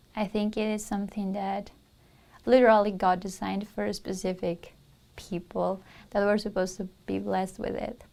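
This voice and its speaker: A woman with a Spanish accent speaks at a moderate pace in a medium pitch, her dark, mellow tone kept to a monotone, flat intonation. The recording is very clean, with a silent background. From Peru. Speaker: university student. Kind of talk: interview testimonial.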